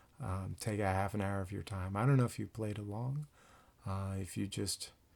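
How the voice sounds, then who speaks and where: Soft-spoken and somewhat breathy, a man talks at a moderate pace in a fairly low voice, on a very clean recording with a silent background. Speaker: band director. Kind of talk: casual address to band; rehearsal tutorial. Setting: home at night, keyboard. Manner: quiet, soft-spoken; hesitant, many fillers.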